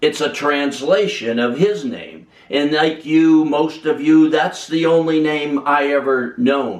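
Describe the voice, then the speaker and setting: Ordinary pitch variation and a fairly slow pace in a normal speaking voice. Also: man. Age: 60s. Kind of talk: personal testimony.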